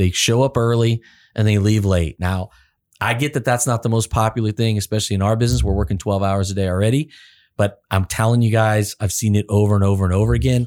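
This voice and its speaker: A man with an unremarkable speaking voice talks at a fairly low pitch and a fairly quick pace with ordinary pitch variation, the sound dry and close with no echo in a very clean recording with a silent background. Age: 50s. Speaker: automotive service coach, podcast co-host. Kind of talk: casual podcast interview.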